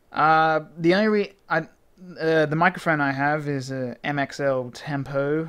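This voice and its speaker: With an Australian accent, a man speaks in a fairly high voice and fairly even intonation on a very clean recording with a silent background. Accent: Australian, milder than many. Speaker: gaming video blogger. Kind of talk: casual vlog talk. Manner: hesitant, many fillers.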